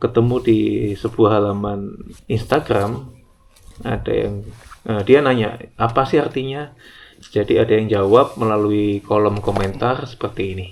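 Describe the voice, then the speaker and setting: An unremarkable speaking voice belongs to this man, who talks at a fairly slow pace in a medium pitch with ordinary pitch variation. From Java. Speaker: hiking vlogger. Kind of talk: vlog narration.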